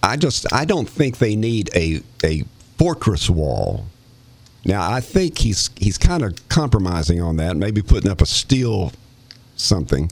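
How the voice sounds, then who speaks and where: With an East Tennessee accent, a man speaks at a fairly low pitch and a fairly slow pace, his pitch swinging very widely. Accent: Southern US (East Tennessee). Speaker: radio host and former county commissioner. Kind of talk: casual chat.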